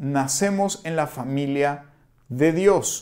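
A man speaks at a very slow pace, his intonation lively. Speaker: pastor. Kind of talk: sermon. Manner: conversational, with frequent fillers.

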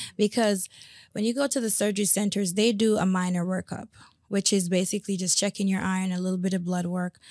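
On a very clean recording with a silent background, a woman has an ordinary speaking voice, medium pitch, and fairly even intonation. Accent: American. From South Florida (West Palm Beach), Jamaican-born. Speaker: hairstylist and salon owner. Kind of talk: casual interview. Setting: studio.

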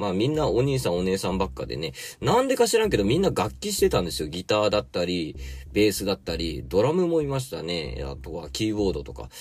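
Vocal fry runs through a man's very deep, low voice, which swings very widely in pitch. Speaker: podcast host and gardener. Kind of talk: casual chat. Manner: chatty, filler-heavy.

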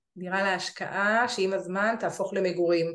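Amid audible room echo, a woman with a medium pitch speaks at a fairly slow pace with fairly even intonation. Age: 40s. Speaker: real estate investment advisor. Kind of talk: webinar presentation. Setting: online webinar.

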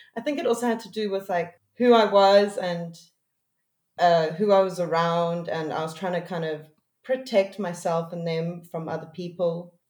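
An unremarkable speaking voice from a woman, fairly low-pitched, at a moderate pace, with ordinary pitch variation and big swings in loudness. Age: 30s. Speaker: music producer. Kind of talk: casual chat.

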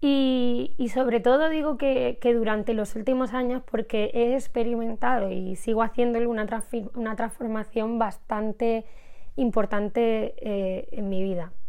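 A woman with a fairly high, dark and mellow voice speaks at a fairly slow pace with fairly even intonation. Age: 20s. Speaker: podcast host, personal development creator. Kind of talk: personal monologue, intimate confessional. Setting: recording at home. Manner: hesitant, frequent repetitions.

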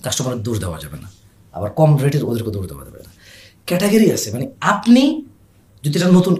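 The voice swings very widely in pitch, has vocal fry, and makes big jumps in loudness. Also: man, fairly high pitch for a man. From grew up abroad (Saudi Arabia), Bangladeshi family. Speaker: e-commerce founder. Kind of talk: casual interview. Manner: animated.

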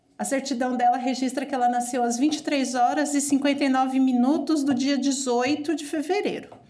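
A woman speaks with a high pitch. Audible room echo fills the recording. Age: 40s. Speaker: nurse and mother. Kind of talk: family conversation.

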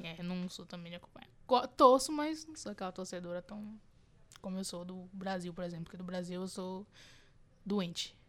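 A woman speaks at a moderate pace in a medium-pitched voice, her intonation lively, her loudness swinging widely, and her speech broken by long, frequent pauses. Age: 20s. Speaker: podcast co-host. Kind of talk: casual chat. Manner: halting.

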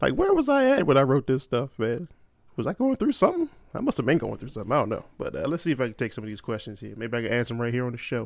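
The man's words come at a very fast pace in a very clean recording with a silent background. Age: 30s. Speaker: podcast host. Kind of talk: casual solo monologue. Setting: solo at a microphone. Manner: rambling, with many fillers and restarts.

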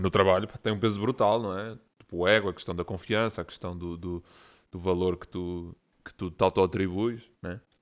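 On a very clean recording with a silent background, a man with a very deep, low pitch uses fairly even intonation but shows big swings in loudness. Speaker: podcast co-host. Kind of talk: casual chat.

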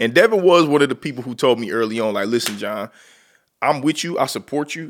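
A man speaks in an unremarkable speaking voice at a medium pitch and a fairly quick pace. His intonation is lively, his loudness swings widely, and the recording is very clean with a silent background. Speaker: podcast host. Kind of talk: casual chat podcast conversation.

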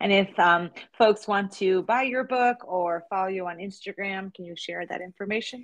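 In a normal speaking voice, a woman with an American accent talks at a moderate pace and a medium pitch. Her intonation is fairly even, with big swings in loudness. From New Jersey. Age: 40s. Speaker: podcast host and yoga teacher. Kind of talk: podcast interview.

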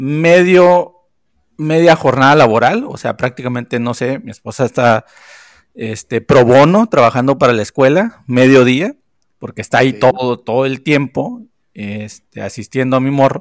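In a normal speaking voice, a man of medium pitch talks at a moderate pace with ordinary pitch variation, captured in a very clean recording with a silent background and a dry, close sound with no echo. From Sonora, northern Mexico. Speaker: podcast co-host, film commentator. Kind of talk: casual chat.

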